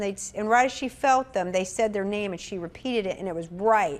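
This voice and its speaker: In a Southern US accent, a woman with a fairly high pitch talks at a very fast pace with lively intonation on a very clean recording with a silent background. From US South, Atlanta. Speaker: spiritual medium and minister. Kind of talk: interview chat.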